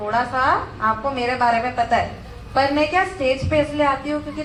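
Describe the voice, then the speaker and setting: A woman with a high voice speaks with ordinary pitch variation. Room echo is audible, and background noise is noticeable. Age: 20s. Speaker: network marketing speaker. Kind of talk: motivational speech. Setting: stage with audience. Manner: halting.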